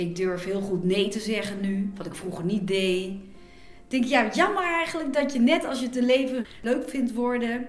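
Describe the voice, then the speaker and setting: A woman speaks with a fairly high pitch and lively intonation. Audible room echo and noticeable background noise are present. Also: moderate pace. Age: 50s. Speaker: blogger and magazine writer. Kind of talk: interview.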